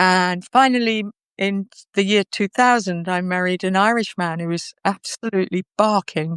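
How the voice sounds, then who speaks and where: A woman talks at a moderate pace in a normal speaking voice, medium-pitched with fairly even intonation. The sound is dry and close with no echo, on a very clean recording with a silent background. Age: 60s. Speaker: interviewee. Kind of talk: personal testimony in an interview. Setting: live video conversation.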